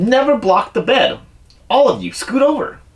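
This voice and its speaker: This is a put-on character voice with a high pitch. The pace is moderate. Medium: read story. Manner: formal, instructing.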